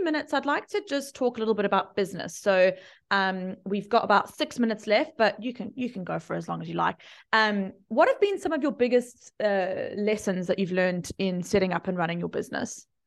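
Fairly quick and lively in intonation, a woman speaks at a fairly high pitch with an unremarkable speaking voice. The background is quiet. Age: 30s. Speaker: podcast host and marketing coach. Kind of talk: casual chat. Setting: video call.

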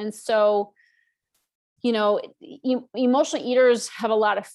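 With an ordinary speaking voice, a woman talks at a moderate pace in a fairly high pitch and fairly even intonation. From US Northeast. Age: 50s. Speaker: author and emotional eating coach. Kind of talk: interview.

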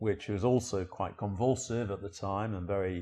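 Against a quiet background, a somewhat breathy man with a fairly low pitch keeps his intonation fairly even. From northern England, Sheffield. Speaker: journalist and author. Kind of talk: interview conversation. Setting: living room at home.

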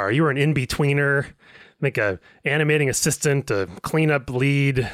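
A man with a plain, everyday voice and a fairly high pitch speaks on a very clean recording with a silent background. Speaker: podcast host. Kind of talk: interview.

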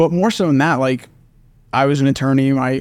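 A man talks in an ordinary speaking voice with an American accent and a fairly high pitch. His fairly quick speech has ordinary pitch variation on a very clean recording with a silent background. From Oklahoma. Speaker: venture capital investor. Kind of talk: interview.

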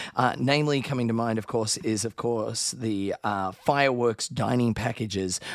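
This man speaks with an Australian accent at a medium pitch, with hardly any pauses. Noticeable background noise runs under his voice. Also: ordinary pitch variation, moderate pace. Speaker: podcast co-host, Disney travel expert. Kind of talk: casual chat.

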